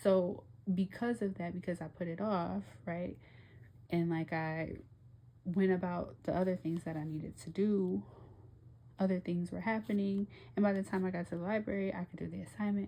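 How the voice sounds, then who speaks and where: Somewhat breathy and dark, mellow in tone, a woman with a fairly low pitch speaks at a moderate pace with long, frequent pauses. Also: ordinary pitch variation. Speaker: tarot reader. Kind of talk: tarot reading monologue. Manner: animated.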